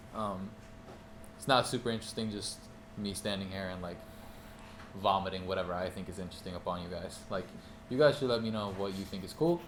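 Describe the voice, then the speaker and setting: At a very fast pace broken by long, frequent pauses, a man speaks in a fairly low pitch with fairly even intonation and audible room echo. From Norway. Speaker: music producer and artist teaching a class. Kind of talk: master class talk to small audience. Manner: casual, many filler ums.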